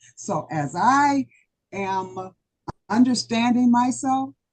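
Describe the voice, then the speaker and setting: A somewhat breathy woman, fairly high in pitch, at a very slow pace. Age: 70s. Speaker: club member giving impromptu answer. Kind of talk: impromptu speech. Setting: club meeting.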